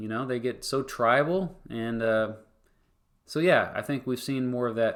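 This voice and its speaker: The recording is very clean, with a silent background. A man speaks in a Kansas accent. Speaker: history YouTuber and former teacher. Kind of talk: livestream Q&A. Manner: casual, halting with fillers. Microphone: new microphone.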